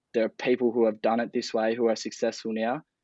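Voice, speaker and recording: Against a quiet background, a man of medium pitch speaks with monotone, flat intonation in a dry, close sound with no echo. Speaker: founder of a lifestyle brand. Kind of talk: interview conversation. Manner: rambling, filler-heavy.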